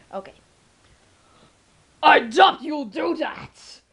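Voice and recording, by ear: Here a put-on character voice is used. Its pitch is high.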